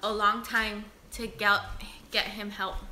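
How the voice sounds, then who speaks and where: A woman's fairly high voice at a very slow pace, with audible room echo. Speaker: beauty vlogger. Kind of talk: livestream chat reading comments. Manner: loud by nature; deliberately quiet.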